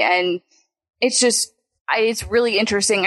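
A normal speaking voice from a woman, fairly high in pitch and fairly quick, with ordinary pitch variation. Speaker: movie podcast host. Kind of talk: casual chat. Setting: video call.

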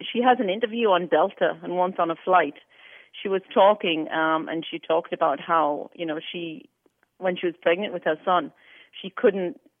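A woman's fairly low voice at a moderate pace, with ordinary pitch variation and an unremarkable speaking voice. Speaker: host's mother. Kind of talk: casual chat.

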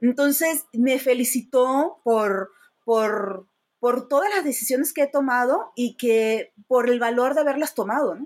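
A woman with a high pitch talks at a fairly slow pace with ordinary pitch variation. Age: 50s. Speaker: rideshare driver and comedian. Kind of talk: casual interview.

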